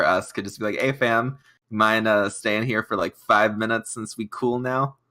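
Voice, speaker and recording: On a very clean recording with a silent background, the voice sounds bright and sharp, with monotone, flat intonation at a moderate pace. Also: man. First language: not English. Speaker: tabletop game player. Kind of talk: casual chat.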